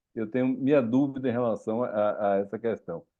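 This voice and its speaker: With a medium pitch, a man keeps to a moderate pace. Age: 60s. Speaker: physician, former residency preceptor. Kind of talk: Q&A after a lecture at a medical academy session. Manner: halting, with repetitions.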